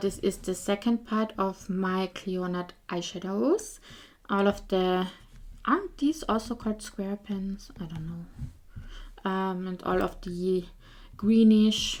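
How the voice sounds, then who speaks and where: On a very clean recording with a silent background, a woman with a non-native accent speaks at a medium pitch and a very slow pace. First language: not English. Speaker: beauty youtuber. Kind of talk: casual product showcase. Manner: hesitant, with fillers.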